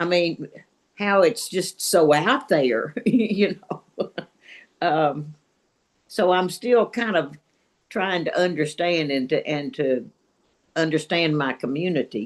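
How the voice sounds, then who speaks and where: A woman with a fairly low pitch speaks very slowly, with lively intonation. She leaves long, frequent pauses. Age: 80s+. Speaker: retired teacher, book club member. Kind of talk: casual group discussion. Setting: video call. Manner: halting.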